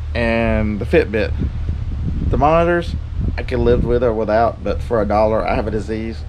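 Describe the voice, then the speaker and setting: Over light background noise, a man with an unremarkable speaking voice talks at a fairly low pitch. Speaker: reseller vlogger. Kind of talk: casual vlog chat. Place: garden. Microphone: phone near.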